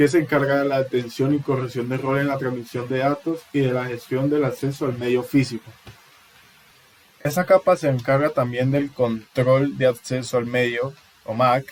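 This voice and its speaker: Over noticeable background noise, a man speaks at a moderate pace and medium pitch with monotone, flat intonation. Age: 20s. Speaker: university student. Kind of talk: class presentation. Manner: halting.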